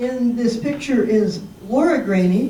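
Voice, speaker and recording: Over noticeable background noise and audible room echo, a woman speaks at a fairly slow pace with ordinary pitch variation. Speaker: local history presenter. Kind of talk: public presentation. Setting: senior center talk with audience.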